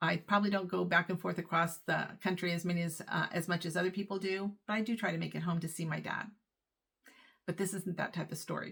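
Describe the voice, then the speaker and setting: At a moderate pace, a woman speaks in a fairly low pitch with vocal fry and monotone, flat intonation. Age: 60s. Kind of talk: casual talk to camera.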